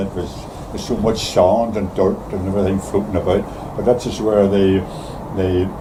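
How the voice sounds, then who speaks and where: With noticeable background noise behind him, a man speaks in a Northern Irish accent. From Belfast, Northern Ireland. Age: 80s+. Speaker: retired shipyard worker. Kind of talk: interview answer.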